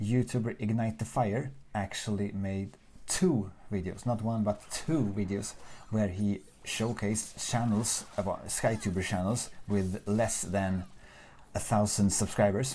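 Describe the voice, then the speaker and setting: Fairly slow and fairly even in intonation, a man with a Swedish accent speaks at a fairly low pitch in a dark, mellow tone. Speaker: gaming YouTuber. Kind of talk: casual let's play commentary. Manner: casual, unscripted.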